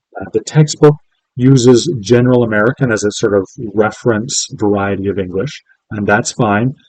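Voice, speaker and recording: A man's medium-pitched voice at a moderate pace with ordinary pitch variation, in a dry, close sound with no echo. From Canada. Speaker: linguistics professor. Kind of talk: lecture. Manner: hesitant, many fillers.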